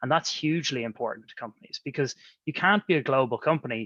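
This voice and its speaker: With an Irish accent, a man talks at a fairly quick pace in a bright, sharp tone, with ordinary pitch variation and a dry, close sound with no echo. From Ireland. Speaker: economic development agency executive. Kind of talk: podcast interview.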